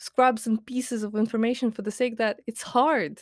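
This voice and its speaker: On a very clean recording with a silent background and a dry, close sound with no echo, a woman with a fairly high pitch speaks at a moderate pace. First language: Latvian and Russian. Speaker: podcaster and writer. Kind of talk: casual rant monologue. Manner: hesitant with many fillers.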